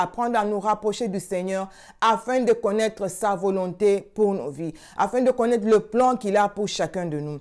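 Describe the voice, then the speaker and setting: The speech comes at a fairly slow pace in a dark, mellow tone. The background is quiet. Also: woman. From Congo. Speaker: prayer channel host. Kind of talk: sermon. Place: home room. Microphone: lapel.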